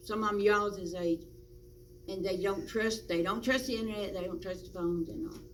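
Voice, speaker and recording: A woman speaks with a Virginia accent at a fairly quick pace. There is audible room echo. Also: medium pitch for a woman, lively intonation. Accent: rural Southern US (Virginia). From US South, rural Virginia (Patrick County). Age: 70s. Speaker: interviewee, local volunteer. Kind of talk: oral history interview.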